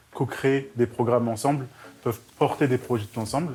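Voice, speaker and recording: A man with a medium pitch keeps his intonation fairly even as he talks fairly quickly. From northern France, Roubaix. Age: 20s. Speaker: student and charity volunteer. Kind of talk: video interview testimony. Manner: hesitant, with fillers.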